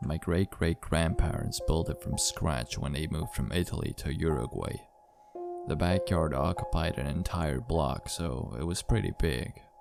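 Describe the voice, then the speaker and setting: Music plays in the background as a man speaks. His pitch is very deep and low, with ordinary variation. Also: moderate pace. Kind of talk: horror story narration.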